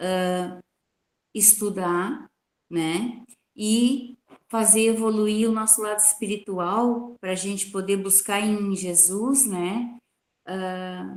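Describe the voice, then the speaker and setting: Very slowly and with long, frequent pauses, a woman speaks at a medium pitch. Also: fairly even intonation. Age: 60s. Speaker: participant in spiritist gospel meeting. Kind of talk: testimony. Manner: halting.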